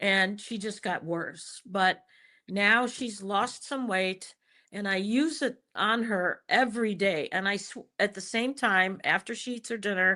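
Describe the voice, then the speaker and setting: A woman speaks at a fairly slow pace in a bright, sharp tone, her pitch medium with ordinary variation. The background is quiet. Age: 70s. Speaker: professor and epidemiologist guest. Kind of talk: casual interview testimony. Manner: halting, with fillers and restarts.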